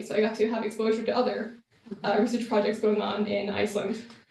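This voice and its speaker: A woman with an American accent talks at a fairly quick pace, her fairly high pitch carrying a dark, mellow tone amid audible room echo. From US Northeast, Massachusetts. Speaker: Fulbright student fellow presenting research. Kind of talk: presentation. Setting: room with live audience. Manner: fast; hesitant, many fillers.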